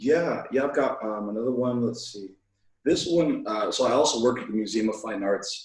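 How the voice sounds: The background is quiet as a natural reading voice comes through.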